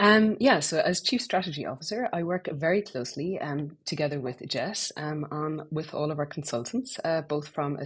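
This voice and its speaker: A woman with an Irish accent speaks at a moderate pace in a somewhat breathy voice that is very deep and low, her intonation lively over a quiet background. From Ireland. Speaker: business strategy executive. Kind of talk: casual business podcast chat.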